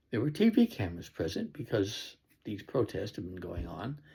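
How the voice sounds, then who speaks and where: At a moderate pace, a man talks in a fairly low, somewhat breathy voice. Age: 80s+. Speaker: political commentator. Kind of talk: personal commentary monologue. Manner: halting, with fillers.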